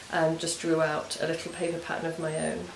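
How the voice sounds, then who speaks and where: A woman with an English accent talks at a fairly low pitch amid noticeable background noise and audible room echo. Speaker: knitting and crafts podcaster. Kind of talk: casual craft vlog chat. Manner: hesitant, many ums.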